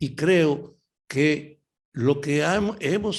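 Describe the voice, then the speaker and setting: A man's fairly high voice comes through a very clean recording with a silent background. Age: 80s+. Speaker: veteran leftist politician. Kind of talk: interview.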